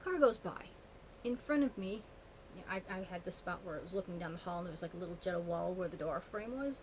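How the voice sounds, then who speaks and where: A woman at medium pitch, very fast and with lively intonation, amid noticeable background noise. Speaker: witchcraft vlogger. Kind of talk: casual vlog monologue. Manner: animated.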